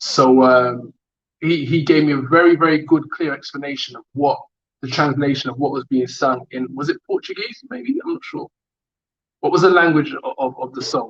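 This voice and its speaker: A man with a London accent at a moderate pace, with big swings in loudness. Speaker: rapper. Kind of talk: online interview. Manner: hesitant.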